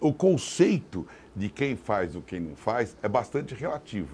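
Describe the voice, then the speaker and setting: Vocal fry runs through this man's voice. He speaks at medium pitch with very wide pitch swings. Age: 60s. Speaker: mayoral candidate and businessman. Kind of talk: political interview.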